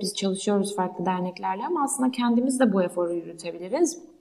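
A woman's medium-pitched voice, very fast and lively in intonation, over noticeable background noise. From Turkey, Ankara. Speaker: startup founder. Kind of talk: interview. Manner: hesitant, many fillers.

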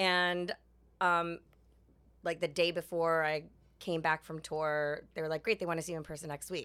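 A woman with a New York accent speaks at a moderate pace in a fairly low pitch, with a bright, sharp tone, monotone, flat intonation and long, frequent pauses, on a very clean recording with a silent background. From New York City. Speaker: Broadway actress. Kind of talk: interview. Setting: theater backstage room.

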